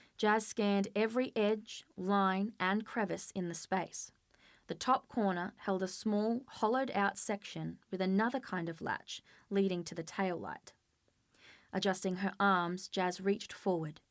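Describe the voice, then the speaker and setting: A woman with a normal speaking voice, medium pitch and fairly even intonation, fairly slow, in a very clean recording with a silent background. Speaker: author. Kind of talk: dramatic audiobook reading.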